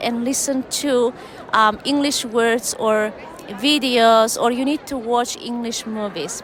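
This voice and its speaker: Over noticeable background noise, a woman talks at a high pitch. Her pace is very slow and her intonation fairly even. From Turkmenistan. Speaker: English teacher. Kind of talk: conference interview.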